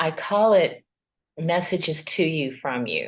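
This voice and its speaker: A woman with a Southern US accent speaks very slowly, with ordinary pitch variation. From US South, Georgia. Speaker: tarot reader and spiritual guide. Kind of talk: interview conversation.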